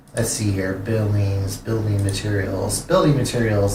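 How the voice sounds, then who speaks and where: Over noticeable background noise and audible room echo, a man with an American accent speaks at a medium pitch and a moderate pace. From California. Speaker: streamer. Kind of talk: gameplay live stream commentary. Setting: live stream. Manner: halting, many fillers and repeats.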